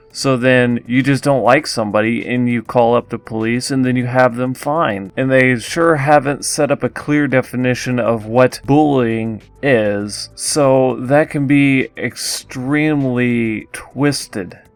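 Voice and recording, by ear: Against background music, a man of medium pitch speaks fairly slowly with fairly even intonation. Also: hardly any pauses.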